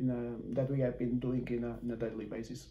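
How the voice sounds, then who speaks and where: Here a man speaks in a Portuguese accent with a dark, mellow tone. His voice is somewhat breathy, and room echo is audible. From Portugal. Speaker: football coach. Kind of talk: interview. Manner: halting.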